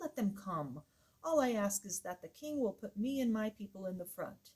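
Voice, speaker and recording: A shrill, put-on character voice, female-sounding, at a medium pitch and a moderate pace. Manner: eager, bold.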